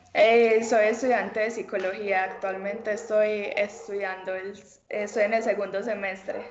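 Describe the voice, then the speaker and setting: Fairly slow, monotone, flat speech with audible room echo and noticeable background noise. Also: woman, fairly high pitch for a woman. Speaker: professional cyclist. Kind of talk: interview. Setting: video call. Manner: hesitant, many fillers.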